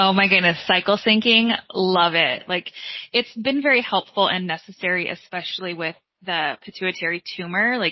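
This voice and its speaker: A woman speaks at a medium pitch and a moderate pace. Her pitch variation is ordinary. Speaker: insurance agency owner. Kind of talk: interview.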